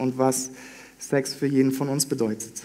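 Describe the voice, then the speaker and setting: A man of medium pitch speaks with audible room echo. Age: 20s. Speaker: trainee pastor. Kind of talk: sermon.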